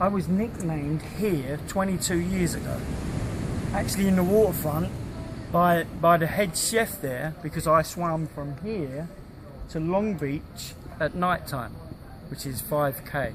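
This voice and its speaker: A British-accented man with a high voice, ordinary pitch variation, a fairly slow pace and long, frequent pauses, over noticeable background noise. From UK. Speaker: long-distance swimmer. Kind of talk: casual interview.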